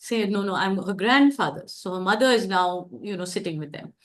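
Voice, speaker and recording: A woman with an Indian accent and ordinary pitch variation. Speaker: discussion facilitator. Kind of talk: group discussion.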